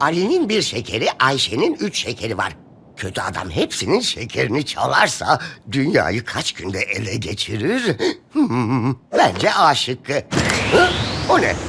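A man puts on a cartoonish character voice with a whiny tone. He speaks at a fairly slow pace. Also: medium pitch for a man. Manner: whiny, petulant.

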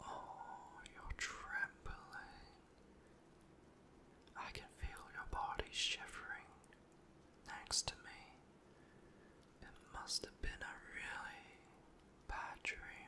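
Over noticeable background noise, someone whispers in a gentle tone at a very slow pace with long, frequent pauses. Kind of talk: whispered comforting roleplay. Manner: gentle tender whisper.

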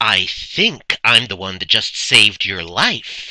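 Using a put-on character voice, a man talks at a fairly slow pace in a fairly low pitch. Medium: dub.

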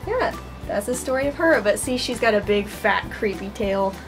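Clear music plays in the background as the voice moves at a fairly quick pace. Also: woman. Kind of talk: casual vlog chat. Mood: cheerful, laughing at times. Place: home room. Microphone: camera far.

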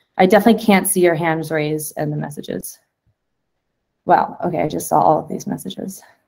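The speech runs at a very fast pace with vocal fry and lively intonation over a quiet background. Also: woman, very deep, low pitch for a woman. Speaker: community call facilitator. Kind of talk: casual work meeting. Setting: video call. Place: home room.

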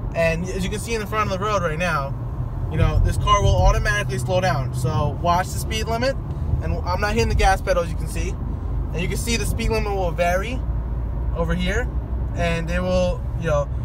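Noticeable background noise sits behind a dry sound with no echo. The pace is fairly quick. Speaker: driver demonstrating car feature. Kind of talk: casual vlog tutorial. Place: car. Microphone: phone near.

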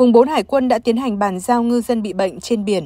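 A woman talks in a normal speaking voice at a fairly high pitch with ordinary pitch variation. The sound is dry and close, with no echo. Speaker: news presenter. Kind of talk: news reading. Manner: formal.

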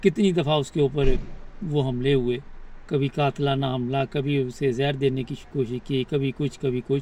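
Somewhat breathy, a man speaks at a fairly slow pace with fairly even intonation, the sound dry with no echo. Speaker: political commentator. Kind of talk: commentary. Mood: serious, concerned. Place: car. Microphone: phone near.

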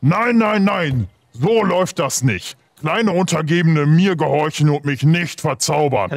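Using a put-on character voice, a man speaks fairly high for a man at a fairly slow pace. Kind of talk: comic fantasy villain voice. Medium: actual play. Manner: angry, commanding, simple broken speech.

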